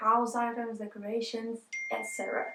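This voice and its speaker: Over noticeable background noise, a woman with a fairly high pitch talks at a fairly quick pace in a monotone, flat intonation. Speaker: vlogger. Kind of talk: casual vlog talk. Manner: talking quietly.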